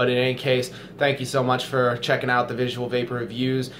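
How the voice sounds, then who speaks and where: At a fairly quick pace, a man speaks at a medium pitch with noticeable background noise behind him. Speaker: vape reviewer. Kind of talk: casual chat. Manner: halting.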